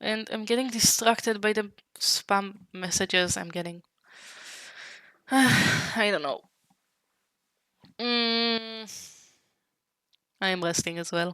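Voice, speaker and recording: The woman speaks at a medium pitch and a very slow pace. Long, frequent pauses break up her speech. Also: ordinary pitch variation. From Israel. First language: Hebrew. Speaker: vtuber streamer. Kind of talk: gaming livestream chat. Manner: halting.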